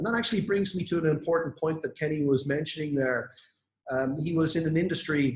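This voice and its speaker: A fairly high-pitched, somewhat breathy man at a very fast pace, with ordinary pitch variation. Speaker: network marketing influencer. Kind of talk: motivational talk on online event. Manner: hesitant with fillers.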